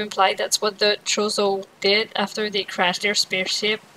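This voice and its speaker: A woman talks at a moderate pace and medium pitch in a plain, everyday voice. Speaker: gaming video creator. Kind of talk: casual gameplay commentary.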